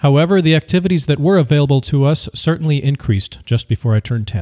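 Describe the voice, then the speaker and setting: Dry and close with no echo, a man's dark, mellow voice rushes at a very fast pace with lively intonation. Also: very clean recording, silent background. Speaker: audiobook narrator. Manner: formal; measured.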